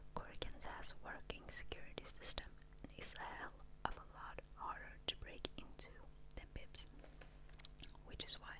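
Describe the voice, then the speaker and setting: A woman whispers in a gentle tone. Her pace is moderate. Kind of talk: ASMR book reading. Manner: whispered, gentle.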